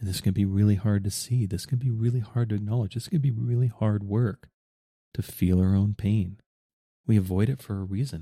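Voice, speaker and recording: The voice is somewhat breathy with a dark, mellow tone and fairly even intonation. It moves at a fairly quick pace on a very clean recording with a silent background. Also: man, fairly low pitch for a man. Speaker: podcast host. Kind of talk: podcast monologue.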